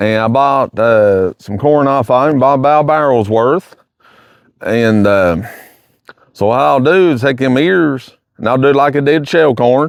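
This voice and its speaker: Talking at a fairly slow pace in a Kentucky accent, a man keeps his loudness very even. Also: medium pitch for a man, ordinary pitch variation. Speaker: hunting vlogger. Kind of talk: casual vlog. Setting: outdoors in the woods. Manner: halting, hesitant.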